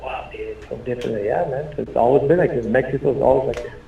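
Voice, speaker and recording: A man talking at a fairly quick pace amid noticeable background noise and audible room echo. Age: 60s. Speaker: Tejano musician. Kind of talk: interview. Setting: radio studio. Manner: casual, halting with repetitions.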